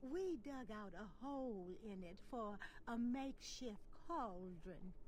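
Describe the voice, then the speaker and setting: A female-sounding, put-on character voice speaks at a fairly slow pace with a fairly high pitch. Background noise is clearly heard. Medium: video game. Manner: dry.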